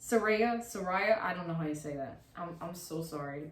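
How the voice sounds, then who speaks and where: A woman speaks at a moderate pace in an animated tone. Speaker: wrestling YouTuber. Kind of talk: casual commentary monologue.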